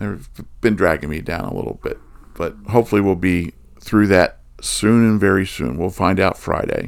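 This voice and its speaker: At a moderate pace, a man speaks in a plain, everyday voice. His pitch sits fairly low, with ordinary variation. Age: 60s. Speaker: music podcast co-host. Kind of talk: casual chat.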